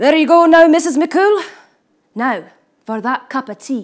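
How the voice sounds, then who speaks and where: Doing a put-on character voice, a woman bellows in a gruff, high pitch at a moderate pace. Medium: read story. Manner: roaring, gruff.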